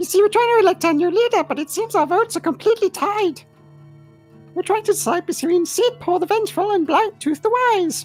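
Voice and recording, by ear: Over faint background music, a put-on character voice at an extremely high pitch moves at a fairly quick pace.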